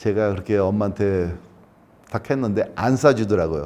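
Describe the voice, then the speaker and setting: Fairly low male voice with a dark, mellow tone, lively intonation and a moderate pace. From Brazil (São Paulo Korean community), emigrated from Seoul at age 7. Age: 60s. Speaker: Korean immigrant interviewee. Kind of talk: oral history interview. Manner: halting, with frequent self-corrections.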